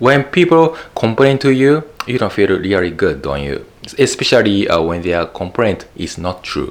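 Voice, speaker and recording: Very wide pitch swings in a Japanese accent, with noticeable background noise. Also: man, medium pitch for a man, moderate pace. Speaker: YouTube educator. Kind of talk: talking-head video monologue. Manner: halting, many fillers and repeats.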